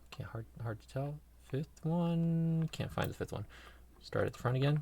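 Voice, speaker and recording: This soft-spoken man has a somewhat breathy voice with a dark, mellow tone, ordinary pitch variation and big swings in loudness. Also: moderate pace. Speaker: lock picking hobbyist. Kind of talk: tutorial. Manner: halting.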